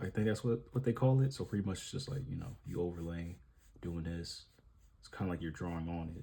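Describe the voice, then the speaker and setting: A man mumbles at a very deep, low pitch. His tone is dark and mellow, and somewhat breathy. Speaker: drawing vlogger. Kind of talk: casual vlog while drawing. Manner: mumbling; casual, filler-heavy.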